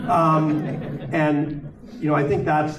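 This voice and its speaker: A man with a fairly high pitch talks amid noticeable background noise and audible room echo. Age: 60s. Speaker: panel speaker. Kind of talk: panel discussion.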